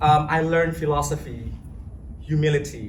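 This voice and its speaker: There is audible room echo as a man talks with an Indonesian accent. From Indonesia (Java). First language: Javanese. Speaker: language teacher. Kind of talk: public talk. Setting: stage with audience. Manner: hesitant, many fillers.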